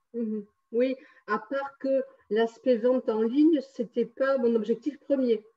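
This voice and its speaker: Her pitch is high and her intonation fairly even. This woman speaks at a very slow pace. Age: 60s. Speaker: numerologist and energy healer. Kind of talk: testimony interview. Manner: hesitant, many fillers.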